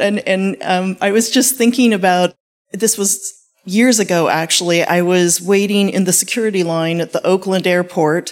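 Using a normal speaking voice, a woman talks at a medium pitch and ordinary pitch variation. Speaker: panelist, university tech transfer. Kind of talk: panel discussion. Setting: live event with audience.

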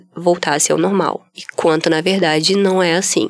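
A woman speaks at a medium pitch with ordinary pitch variation in an unremarkable speaking voice. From Brazil, Espírito Santo (Vitória). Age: 30s. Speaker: former art teacher, leukemia survivor. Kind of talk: testimony.

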